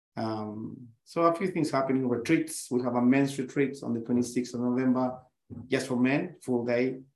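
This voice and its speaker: In a South American accent, a man speaks at a moderate pace and medium pitch. His intonation is fairly even. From Chile. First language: Spanish. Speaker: breathwork and yoga instructor. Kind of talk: interview conversation.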